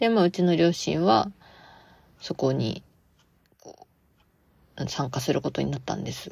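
At a moderate pace, a woman with a very deep, low pitch and vocal fry speaks with very wide pitch swings, big swings in loudness, and long, frequent pauses. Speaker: podcast host and part-time theatre actor. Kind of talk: casual solo podcast talk. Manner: low-energy; frequent fillers.

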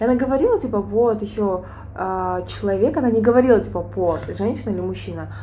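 There is audible room echo as a woman talks at a very fast pace. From Kyrgyzstan. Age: 20s. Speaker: podcast co-host. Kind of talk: casual chat.

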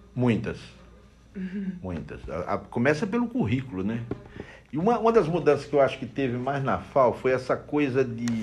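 Over noticeable background noise, a man speaks at a fairly high pitch and a moderate pace. His voice shows very wide pitch swings. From Brazilian Northeast. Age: 60s. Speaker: bookseller. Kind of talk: casual interview.

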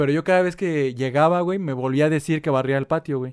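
A man at a very fast pace and fairly high pitch, in a dry, close sound with no echo. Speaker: podcast co-host. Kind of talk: casual chat. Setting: at home.

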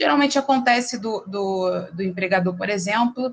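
A woman speaks with a somewhat breathy voice. Her intonation is lively. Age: 30s. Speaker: lawyer. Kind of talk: interview explaining legal topics.

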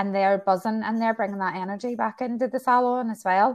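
Speaking at a fairly quick pace with fairly even intonation, a woman in a Northern Irish accent comes through on a very clean recording with a silent background. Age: 40s. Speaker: hairdresser and salon owner. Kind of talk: casual interview.

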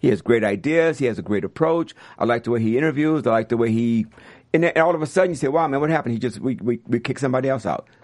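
A man talks at a very fast pace with an American accent. His intonation is lively. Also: medium pitch for a man. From US South, New Orleans. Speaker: music industry executive. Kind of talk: interview. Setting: studio.

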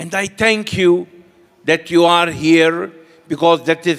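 This man speaks with a fairly high pitch. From Malta. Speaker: priest. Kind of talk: sermon. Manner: short phrases paused for interpreter.

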